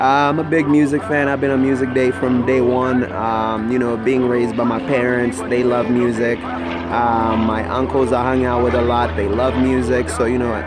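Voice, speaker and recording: With music in the background and audible room echo, a man talks at a moderate pace and medium pitch, with very even loudness and hardly any pauses. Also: ordinary pitch variation. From Kenya (Nakuru, Rift Valley). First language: Swahili and Kikuyu. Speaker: vlogger. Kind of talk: casual vlog monologue. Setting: selfie video recording. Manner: hesitant, many fillers.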